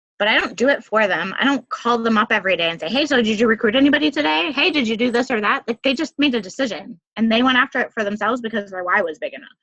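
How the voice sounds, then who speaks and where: A woman talks very fast with hardly any pauses, her fairly high voice bright and sharp with lively intonation. The sound is dry and close, with no echo. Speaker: network marketing coach. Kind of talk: team call talk. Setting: conference call. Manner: animated.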